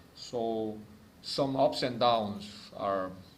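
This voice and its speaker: With ordinary pitch variation, a man's voice sits at a fairly low pitch. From South Korea. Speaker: ambassador. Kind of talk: formal diplomatic speech to a club audience. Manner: hesitant, with frequent filler words.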